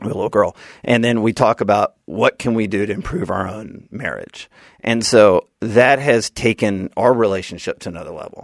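A man with an Alabama accent at a medium pitch, ordinary pitch variation and big swings in loudness, in a dry, close sound with no echo. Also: moderate pace, quiet background. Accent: Southern US (Alabama). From US South, Birmingham, Alabama. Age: 40s. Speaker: political marketing strategist and author. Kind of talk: casual interview.

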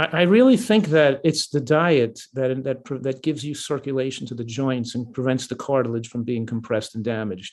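In a plain, everyday voice, a man talks at a fairly quick pace with hardly any pauses, ordinary pitch variation and a quiet background. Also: medium pitch for a man. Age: 60s. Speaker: physician and nutrition author. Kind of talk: interview.

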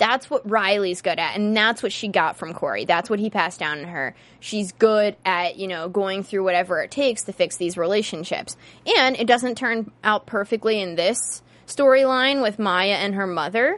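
At a moderate pace, a woman with an American accent speaks in a normal speaking voice, medium in pitch with ordinary pitch variation. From western Pennsylvania. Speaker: TV after-show host. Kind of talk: casual chat. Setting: studio.

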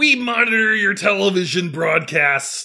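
Using a squeaky, put-on character voice, a man speaks at a high pitch and a moderate pace.

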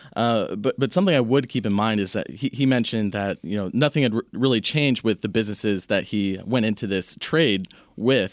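In a very clean recording with a silent background, a man with an ordinary speaking voice talks at a fairly quick pace, the sound dry and close with no echo. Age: 20s. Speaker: investment analyst. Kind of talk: casual chat.

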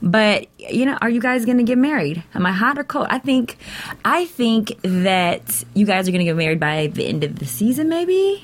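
At a moderate pace and a fairly high pitch, a woman's voice swings very widely in pitch against noticeable background noise. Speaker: co-host. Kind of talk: casual chat. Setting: studio, live stream.

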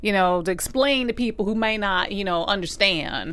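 The speaker has a normal speaking voice with an American accent. The pace is fairly quick. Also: woman. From US South, Alabama. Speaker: TV after-show panelist. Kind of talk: casual chat.

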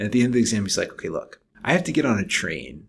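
A man is speaking with an American accent. His pitch is medium. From Maryland, DC suburbs. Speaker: engineering professor. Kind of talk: interview. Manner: halting.

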